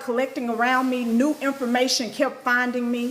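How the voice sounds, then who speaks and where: Amid noticeable background noise, a woman with a high pitch talks at a moderate pace. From Arkansas, US South. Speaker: spiritual teacher and livestreamer. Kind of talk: live stream teaching with chat shout-outs. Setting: live stream. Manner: animated.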